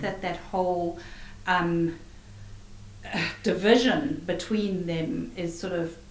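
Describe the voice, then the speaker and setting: Amid noticeable background noise, a woman with a fairly low pitch talks at a very slow pace, with ordinary pitch variation and long, frequent pauses. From Zimbabwe. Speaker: author. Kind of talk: interview answer. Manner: chatty, casual.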